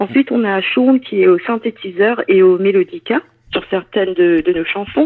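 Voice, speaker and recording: Her intonation lively, a woman talks at a moderate pace in a medium pitch. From France. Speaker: singer in a band. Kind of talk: interview. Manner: halting, many hesitations.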